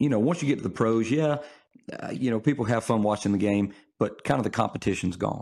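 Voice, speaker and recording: A man with a Mississippi accent, fairly low in pitch with ordinary variation, at a fairly quick pace on a very clean recording against a silent background. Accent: US Southern (Mississippi). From northern Mississippi, DeSoto County. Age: 30s. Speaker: pastor and funeral director. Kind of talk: casual chat. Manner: halting, many fillers and repeats.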